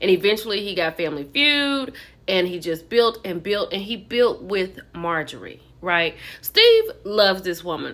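Her intonation is lively, and her tone is fairly bright. A woman speaks at a medium pitch and a fairly slow pace.

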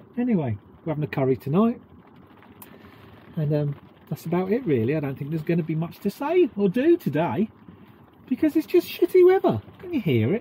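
The pace is fairly quick, with very wide pitch swings. Light background noise sits behind the voice. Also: man, high pitch for a man. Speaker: vlogger. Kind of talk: casual vlog chat. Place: boat. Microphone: camera far.

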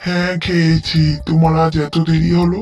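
A cartoonish character voice at a middle pitch plays over faint music in the background. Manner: mournful, resigned.

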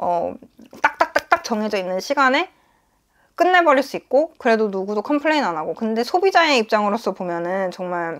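Over a quiet background, a woman with a fairly high pitch speaks at a moderate pace, her pitch swinging very widely. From South Korea. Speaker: nurse and vlogger; vlogger. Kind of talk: casual vlog monologue. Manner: hesitant with frequent fillers. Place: home room. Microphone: lapel.

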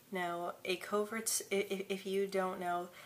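Through light background noise, a woman talks in a fairly low pitch with monotone, flat intonation. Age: adult. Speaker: former Marine. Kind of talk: casual vlog talk to camera. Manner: stutters, with repetitions and blocks. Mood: calm, open, friendly. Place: home room. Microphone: phone near.

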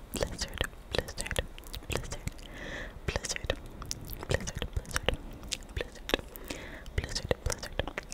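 Whispering and soft-spoken, a woman talks at a very slow pace. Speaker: ASMR creator. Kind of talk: ASMR trigger word repetition. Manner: soft whispered repeated trigger word. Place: home room. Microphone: studio mic.

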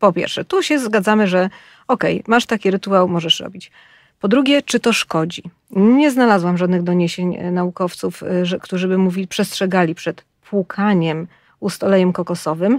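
In a plain, everyday voice, a woman speaks at a medium pitch and moderate pace with ordinary pitch variation, in a dry, close recording with no echo, very clean with a silent background. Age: 40s. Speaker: podcast co-host, health journalist. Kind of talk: casual chat.

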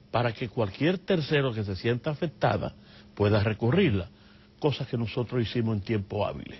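The man's voice comes across as somewhat breathy. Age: 60s. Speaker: human rights lawyer and activist. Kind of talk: TV interview.

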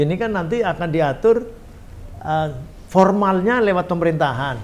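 A man speaks with a Central Javanese accent and a high pitch. His intonation is lively and his pace moderate. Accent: Tegal dialect in Indonesian. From Tegal, Central Java, Indonesia; Central Java, Indonesia. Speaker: member of parliament; podcast guest. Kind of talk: podcast interview. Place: studio.

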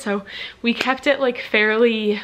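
With ordinary pitch variation, a woman talks at a moderate pace. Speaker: vlogger. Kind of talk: casual vlog chat. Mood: cheerful, relaxed. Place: home room. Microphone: phone near.

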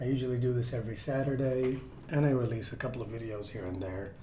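A man at a moderate pace, audible room echo and light background noise around him. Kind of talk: casual stream chat.

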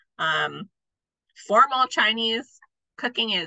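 A woman speaks with a fairly high pitch, very wide pitch swings and vocal fry. Her tone is bright and sharp, the sound dry and close with no echo. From North Dakota (Fargo). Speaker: food historian. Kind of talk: lecture.

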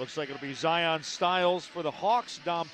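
Over faint background music, a man speaks at a fairly slow pace in a dry sound with no echo. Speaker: play-by-play announcer. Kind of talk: sports commentary. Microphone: headset.

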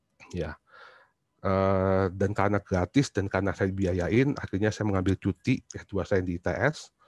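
A man's fairly low voice at a fairly slow pace, with fairly even intonation, dry sound with no echo and a quiet background. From Indonesia, Surabaya (East Java); East Java, Indonesia. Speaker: university lecturer; presenter. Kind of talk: book reflection talk; talk presentation, reflective storytelling. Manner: halting, many fillers. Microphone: video call.

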